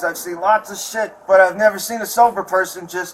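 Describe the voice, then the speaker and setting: A man with an American accent, moderate pace and fairly even intonation, over noticeable background noise. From Chicago. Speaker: assault victim speaking to police. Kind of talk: casual talk with police after incident. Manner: agitated.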